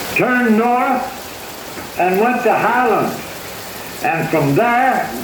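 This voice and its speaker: Over noticeable background noise, a man with a Southern US accent speaks at a very slow pace in an extremely high pitch with lively intonation. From Georgia. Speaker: former county sheriff. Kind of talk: interview answer, storytelling. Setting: museum exhibit playback, rain in background.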